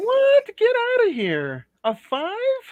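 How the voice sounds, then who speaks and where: The speaker puts on a character voice that sounds female. The pitch is extremely high. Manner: indignant, incredulous.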